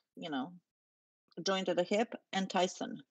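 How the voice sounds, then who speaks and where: In a dry, close recording with no echo and a quiet background, a woman with a non-native accent speaks at a fairly slow pace. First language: not English. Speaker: panel researcher. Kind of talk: casual discussion. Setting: online video call.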